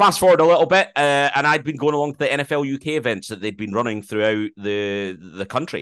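Over a quiet background, a man with a Scottish accent talks at a very fast pace, fairly high in pitch, with lively intonation. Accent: mild Scottish. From Scotland. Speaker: sports broadcaster and podcast co-host. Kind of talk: interview conversation. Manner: loud.

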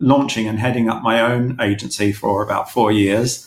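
A man with a London accent, medium pitch, moderate pace and ordinary pitch variation, amid noticeable background noise. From London (East London, Manor Park). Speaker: magazine publisher and former advertising creative director. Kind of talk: interview.

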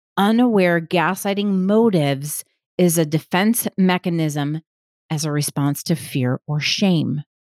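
With an American accent and a plain, everyday voice, a woman of fairly low pitch speaks fairly slowly with lively intonation, in a dry, close, echo-free recording that is very clean with a silent background. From US Midwest, Milwaukee, Wisconsin. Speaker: podcast host, gaslighting specialist. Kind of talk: solo podcast monologue.

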